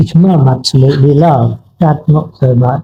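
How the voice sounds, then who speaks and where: His voice is dark and mellow in tone, somewhat breathy, and fairly high in pitch for a man, with ordinary pitch variation. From southern England, Poole, Dorset. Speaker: former Olympic marathon runner. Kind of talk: interview conversation. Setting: cafe.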